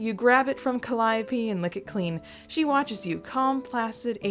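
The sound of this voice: What we hear is an unforced reading voice.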